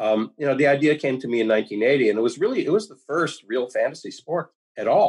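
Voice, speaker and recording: An unremarkable speaking voice moves at a fairly quick pace. Its intonation is lively and its loudness swings widely. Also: man, fairly high pitch for a man. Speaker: author. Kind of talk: interview. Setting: video call.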